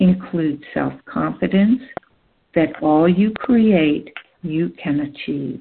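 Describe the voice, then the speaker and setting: With a soothing, calm tone, a woman speaks at a very slow pace in a fairly low pitch, her intonation lively. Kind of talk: guided meditation, hypnosis script read aloud to listeners. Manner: slow, soothing, calm and gentle, with measured pauses; warm, directive, coaxing the listener to relax.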